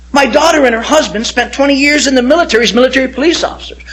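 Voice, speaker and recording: Delivered at a very fast pace with noticeable background noise, the voice has an animated tone. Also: man. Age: 60s. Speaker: pastor. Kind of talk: testimony.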